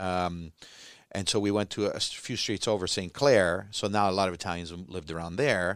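In a very clean recording with a silent background, a man with a Canadian accent speaks at a moderate pace in a very deep, low voice with ordinary pitch variation. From Toronto, Canada. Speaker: comedian. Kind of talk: casual chat. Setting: studio.

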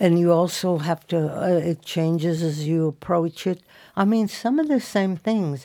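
On a very clean recording with a silent background, a woman speaks fairly slowly with an American accent and a dark, mellow tone. Her pitch is fairly low with ordinary variation, and her loudness stays very even. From Indiana. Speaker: painter. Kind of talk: casual chat.

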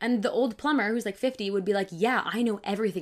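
In a very clean recording with a silent background, a woman with a normal speaking voice and an American accent talks at a fairly quick pace with fairly even intonation. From Michigan. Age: 20s. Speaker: bible teacher. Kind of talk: casual chat.

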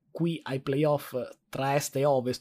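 A man's medium-pitched, dark and mellow voice at a fairly slow pace. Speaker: sports podcast co-host. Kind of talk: casual sports chat. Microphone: good microphone brought in suitcase.

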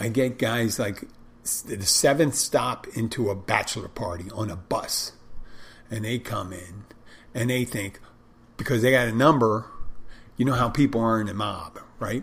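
With long, frequent pauses, the delivery keeps a moderate pace and shows ordinary pitch variation. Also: man. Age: 50s. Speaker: bartender and podcast host. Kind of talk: casual solo talk. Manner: loud, barking.

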